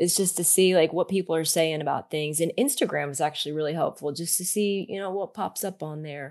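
With a normal speaking voice, a woman talks at a fairly quick pace with hardly any pauses, her fairly low pitch showing ordinary variation. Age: 40s. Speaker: van life content creator. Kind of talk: interview. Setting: remote interview.

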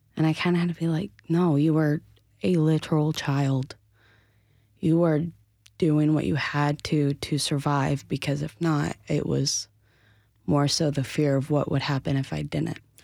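With an American accent, a woman speaks at a very deep, low pitch and a fairly slow pace, her loudness very even, her intonation fairly even, and her pauses long and frequent. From North Carolina, Asheville. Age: 20s. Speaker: actress and survivor advocate. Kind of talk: testimony.

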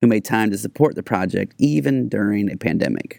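An ordinary speaking voice moves at a fairly quick pace with ordinary pitch variation, in a dry, close sound with no echo. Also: man. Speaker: podcast co-host. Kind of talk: casual chat. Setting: studio.

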